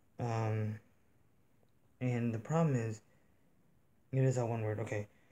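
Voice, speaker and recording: A man speaks quietly at medium pitch, somewhat breathy with a dark, mellow tone. Light background noise runs underneath. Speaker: reaction youtuber. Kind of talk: casual vlog chat to camera. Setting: home room near bedrooms. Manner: speaking quietly. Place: home room.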